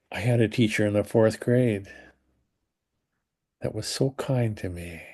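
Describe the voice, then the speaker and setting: Against a quiet background, a man with an American accent speaks in a dark, mellow tone at a fairly low pitch and a fairly slow pace, with long, frequent pauses. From US Mountain West (Wyoming, Denver). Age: 80s+. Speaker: spiritual teacher. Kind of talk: casual chat.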